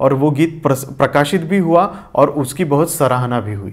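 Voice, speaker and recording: Ordinary pitch variation with a Marathi accent. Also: man. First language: Marathi (speaking Hindi). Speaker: poet and lyricist. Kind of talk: interview.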